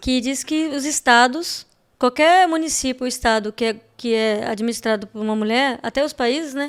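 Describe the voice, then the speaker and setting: A woman speaks with a high-pitched voice. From Espírito Santo, Brazil. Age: 40s. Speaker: political candidate, former health manager. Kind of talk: podcast interview.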